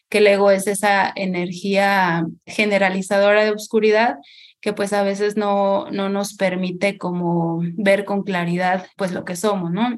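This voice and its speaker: A woman with a medium-pitched voice talks at a fairly slow pace, her intonation fairly even. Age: 30s. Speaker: holistic therapist. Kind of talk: interview conversation. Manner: halting.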